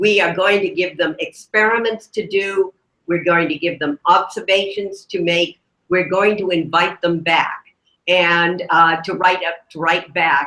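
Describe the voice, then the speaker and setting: Loud and bright with a sharp tone, a woman speaks fairly slowly at a fairly low pitch. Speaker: retired librarian. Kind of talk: informal talk. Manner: animated.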